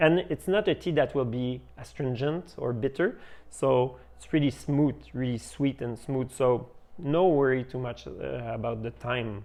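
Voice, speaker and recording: The speaker is a man with a French accent. He talks at a moderate speed. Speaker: tea shop owner. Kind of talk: tutorial. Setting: tea house. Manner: halting, many fillers.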